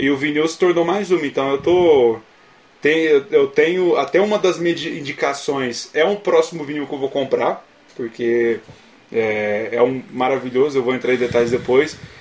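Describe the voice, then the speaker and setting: The speaker has an unremarkable speaking voice, talking at a moderate pace with ordinary pitch variation. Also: man, fairly high pitch for a man. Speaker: podcast co-host. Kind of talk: casual chat.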